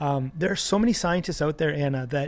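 With ordinary pitch variation and a fairly quick pace, a man speaks in an unremarkable speaking voice. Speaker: animal activist and author. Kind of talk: interview.

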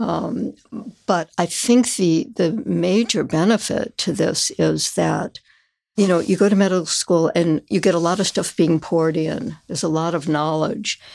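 A woman with an American accent talks at a fairly slow pace and fairly low pitch. Her voice carries vocal fry and ordinary pitch variation. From Chicago area, US Midwest. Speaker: patient. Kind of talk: casual interview.

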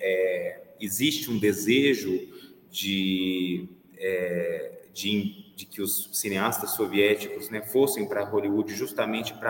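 A man talks at a fairly slow rate as background noise remains noticeable. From Brazil, Minas Gerais (Belo Horizonte). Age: 40s. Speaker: pianist and curator. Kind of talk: interview. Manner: halting, many repetitions.

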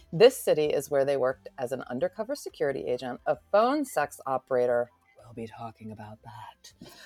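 Over music in the background, a woman talks at a fairly quick pace with big swings in loudness, in a dry, close sound with no echo. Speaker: romance podcast host. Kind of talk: casual interview chat.

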